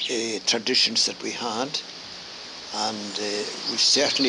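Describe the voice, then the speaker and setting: Amid noticeable background noise, a man with a Highland Scottish accent speaks fairly slowly at a fairly low pitch, keeping his intonation fairly even. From Scottish Highlands, Gairloch, west coast. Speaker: grandfather sharing memories. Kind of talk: oral history interview. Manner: halting, many fillers.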